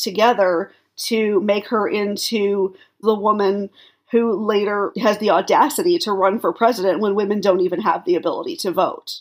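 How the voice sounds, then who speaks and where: Talking at a moderate pace, a woman has an unremarkable speaking voice. Her medium pitch shows ordinary variation. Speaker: historian or biographer commentator. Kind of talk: interview commentary. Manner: casual, uses filler words.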